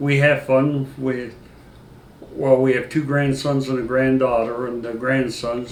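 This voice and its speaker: Speaking at a medium pitch in an American accent, a man keeps a monotone, flat intonation at a fairly slow pace. His loudness swings widely, and audible room echo fills the recording. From northeastern Pennsylvania. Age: 60s. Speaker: retired sheriff's deputy. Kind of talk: interview. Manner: halting, frequent fillers.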